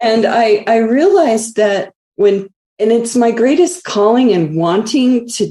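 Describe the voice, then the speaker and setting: A woman with a dark, mellow tone and an American accent, at a fairly slow pace. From US, DC metro area. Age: 60s. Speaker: energy healer. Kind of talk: podcast interview.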